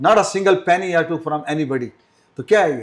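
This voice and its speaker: A man with a plain, everyday voice speaks at a moderate pace in a fairly high pitch with ordinary pitch variation. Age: 60s. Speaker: ship captain and nautical instructor. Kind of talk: podcast interview.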